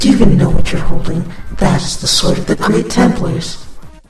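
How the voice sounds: A man puts on a character voice, pitched high and delivered at a fairly quick pace. There is clear background noise and a slight echo.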